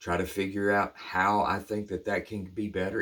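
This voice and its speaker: Speaking at a fairly slow pace with a Southern US accent, this voice comes through on a very clean recording with a silent background. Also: man. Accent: US South. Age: 50s. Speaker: recovery speaker. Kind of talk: reflective monologue. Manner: halting; casual.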